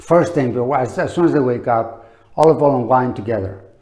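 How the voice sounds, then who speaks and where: A man's medium-pitched voice at a fairly slow pace, ordinary pitch variation and audible room echo. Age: 60s. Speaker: olive oil promoter. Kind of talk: product demonstration. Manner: casual, halting with fillers.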